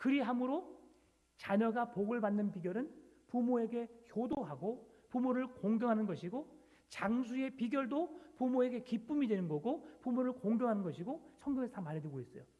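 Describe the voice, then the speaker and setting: A man with an extremely high pitch and a dark, mellow tone talks at a moderate pace with lively intonation. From South Jeolla, near Gyeongsang border. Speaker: pastor. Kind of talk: sermon.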